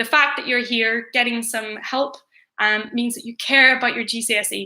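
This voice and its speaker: Woman with a Northern Irish accent, fairly high pitch, monotone, flat intonation and a moderate pace. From Northern Ireland. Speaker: teacher. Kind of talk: revision livestream tutorial. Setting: livestream.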